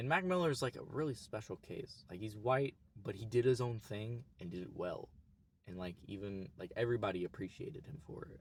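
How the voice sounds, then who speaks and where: With an American accent, a man talks at a fairly quick pace in a medium, somewhat breathy voice, his intonation lively and his loudness swinging widely. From US, Oklahoma. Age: 20s. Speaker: YouTuber. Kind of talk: casual vlog monologue. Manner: casual, halting with restarts.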